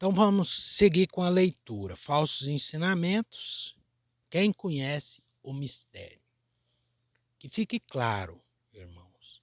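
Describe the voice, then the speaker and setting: Pitch swings very widely throughout. The sound is dry and close with no echo, in a very clean recording with a silent background. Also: man. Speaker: religious teacher reading scripture. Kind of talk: scripture reading with commentary.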